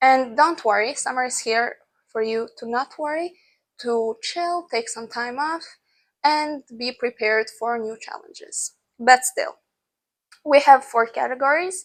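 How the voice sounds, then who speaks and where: With a non-native accent, the speaker goes at a fairly slow pace, showing ordinary pitch variation and big swings in loudness. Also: woman, high pitch for a woman. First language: not English. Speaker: lifestyle vlogger. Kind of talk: casual advice vlog. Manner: conversational with fillers.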